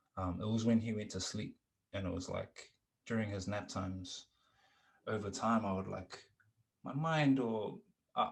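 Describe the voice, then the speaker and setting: Soft-spoken and somewhat breathy, a man talks at a moderate pace and medium pitch with ordinary pitch variation and long, frequent pauses. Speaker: musician and podcast host. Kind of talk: casual chat. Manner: hesitant, many fillers.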